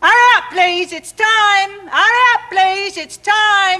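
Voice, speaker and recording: A put-on character voice shouts at an extremely high pitch. The sound is squeaky. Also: fairly slow pace. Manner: shouting.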